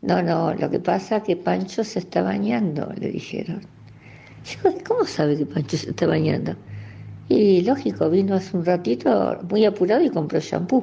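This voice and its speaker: A woman with an Argentine accent at a moderate pace. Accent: Rioplatense Argentine Spanish. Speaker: local resident sharing memories. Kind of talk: recorded personal reminiscence.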